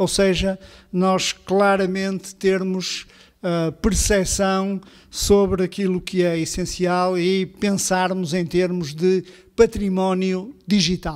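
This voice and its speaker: A high-pitched man's voice, monotone and flat, at a very slow pace over a quiet background. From Portugal. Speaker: public cultural institution director; event host. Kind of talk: formal opening speech. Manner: hesitant, many filler sounds. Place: hall.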